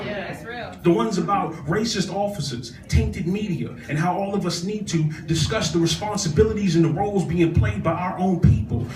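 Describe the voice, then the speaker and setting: With music in the background, a man speaks in a passionate tone at a fairly quick pace with hardly any pauses. His pitch is high and his intonation lively. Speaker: spoken word poet. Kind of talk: spoken word poetry performance at an open mic. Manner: passionate, emphatic, rhythmic delivery.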